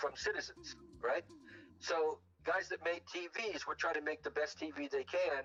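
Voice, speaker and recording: A man at a moderate pace over background music. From Southern California, Long Beach. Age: 70s. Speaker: podcast guest. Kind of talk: casual chat. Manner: halting, with frequent restarts.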